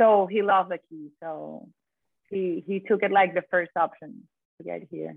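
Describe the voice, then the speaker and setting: A woman with a Venezuelan accent, medium pitch and fairly even intonation, at a moderate pace, with big swings in loudness. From Venezuela, Caracas. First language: Spanish. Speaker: chocolatier. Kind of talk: interview. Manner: halting.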